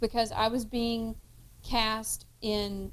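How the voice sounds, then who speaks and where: A woman with a Kentucky accent speaks at a fairly high pitch in a very clean recording with a silent background. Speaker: podcast cohost and actress. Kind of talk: casual chat.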